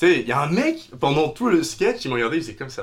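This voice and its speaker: Pitch swinging very widely, a man delivers his words at a fairly quick pace. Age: 20s. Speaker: actor and comedian. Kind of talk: casual chat with improv. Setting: studio, shared microphones.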